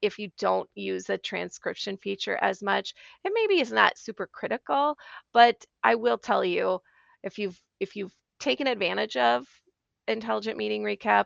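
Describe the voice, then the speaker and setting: Over a quiet background, a woman speaks at a moderate pace with a dry, close sound and no echo. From Minnesota. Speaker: IT consultant. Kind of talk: casual chat.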